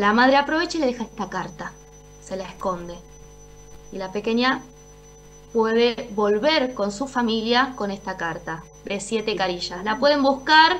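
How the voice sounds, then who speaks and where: A woman speaks at a moderate pace with lively intonation and long, frequent pauses. Light background noise sits under her voice. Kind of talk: interview answer. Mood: serious, earnest. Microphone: video call.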